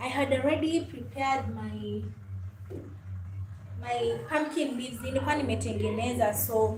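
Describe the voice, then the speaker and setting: With a Kenyan accent, a woman speaks at a fairly slow pace amid noticeable background noise and audible room echo. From Kenya (Luhya). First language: Luhya. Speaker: YouTuber, lifestyle vlogger. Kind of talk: casual livestream chat while cooking.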